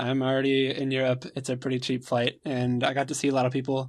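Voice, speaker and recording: A man with an American accent talks at a fairly quick pace, his pitch medium. He has an ordinary speaking voice. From United States. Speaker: podcast co-host, competitive gamer. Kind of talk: casual chat.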